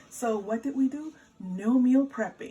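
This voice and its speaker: A woman speaking over noticeable background noise. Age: 40s. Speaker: home cook and lifestyle vlogger. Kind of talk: casual cooking tutorial to camera.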